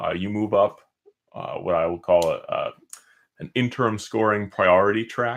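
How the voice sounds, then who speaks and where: Taking long, frequent pauses, a man talks at a moderate pace. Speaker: board game reviewer. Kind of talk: casual gameplay tutorial to camera.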